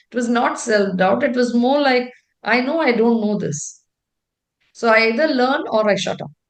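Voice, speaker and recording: A loud, high-pitched woman's voice at a moderate pace. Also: ordinary pitch variation. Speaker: tech executive. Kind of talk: interview. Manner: talkative.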